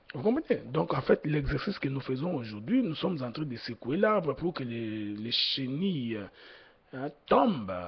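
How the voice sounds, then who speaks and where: The man's voice is fairly high and somewhat breathy, with very wide pitch swings. He talks at a fairly slow pace. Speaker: preacher. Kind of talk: sermon. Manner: slow, deliberate; hesitant, many fillers.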